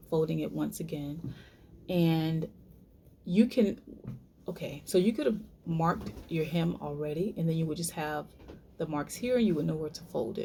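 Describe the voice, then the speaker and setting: In an American accent, a woman speaks at a moderate pace with a fairly low pitch, ordinary pitch variation, a somewhat breathy quality and a dark, mellow tone. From US South, Louisiana. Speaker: sewing teacher. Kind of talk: tutorial. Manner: casual, with many fillers.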